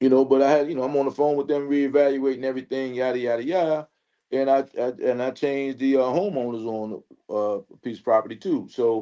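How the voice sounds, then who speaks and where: A man talks at a fairly quick pace in a medium pitch, with a dark, mellow tone and fairly even intonation. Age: 60s. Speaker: panelist. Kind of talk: panel discussion.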